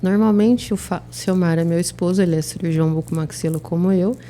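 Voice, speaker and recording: A soft-spoken woman with a fairly low voice. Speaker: oral and maxillofacial surgeon. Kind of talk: interview.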